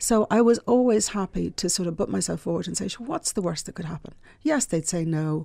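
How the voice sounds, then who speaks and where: In a very clean recording with a silent background, a woman with a Dublin accent speaks at a fairly quick pace in a medium pitch, with lively intonation and a dark, mellow tone. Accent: Dublin Irish. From Ireland, Dublin. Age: middle-aged. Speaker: publishing entrepreneur. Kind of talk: interview.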